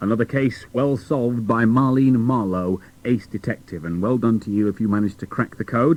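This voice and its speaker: A plain, everyday voice moves at a fairly quick pace with hardly any pauses and ordinary pitch variation, over a quiet background. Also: man, medium pitch for a man. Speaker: radio presenter. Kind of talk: children's radio links. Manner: upbeat.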